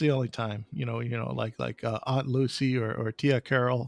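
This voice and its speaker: Recorded with a dry, close sound and no echo, a man with an American accent speaks at a moderate pace. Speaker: podcast host. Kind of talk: casual interview chat.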